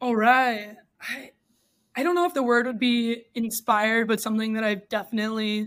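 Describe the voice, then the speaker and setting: In a very clean recording with a silent background, a woman speaks in a plain, everyday voice with an American accent. Her pitch is fairly high, her intonation fairly even and her pace moderate. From Texas. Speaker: podcast guest. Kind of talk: casual interview.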